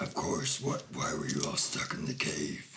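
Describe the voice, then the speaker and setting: A man uses a put-on character voice, raspy and at a moderate pace, with clear background noise. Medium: actual play.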